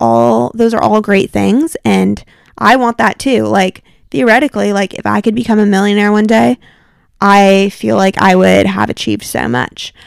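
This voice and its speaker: At a moderate pace, a woman talks in a dry, close recording with no echo. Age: 20s. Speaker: podcast host. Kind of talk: casual monologue. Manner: casual, many filler words.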